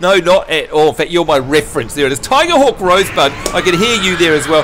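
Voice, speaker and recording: A man with a New Zealand accent talks at a very fast pace and a high pitch, his tone animated and his intonation lively. Noticeable background noise sits behind him. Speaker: gaming livestreamer. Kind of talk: casual chat. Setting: livestream with voice chat.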